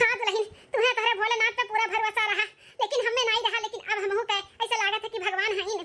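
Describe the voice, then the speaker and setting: A cartoonish character voice, squeaky and monotone, rattles along at a very fast pace. The intonation stays flat throughout. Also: woman, extremely high pitch for a woman. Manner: scolding, nagging.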